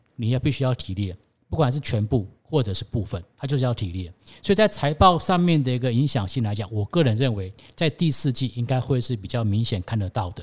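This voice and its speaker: The delivery is fairly quick and somewhat breathy, with lively intonation, on a very clean recording with a silent background. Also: man, medium pitch for a man. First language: Cantonese (speaking Chinese). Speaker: stock-picking coach. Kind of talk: casual finance interview.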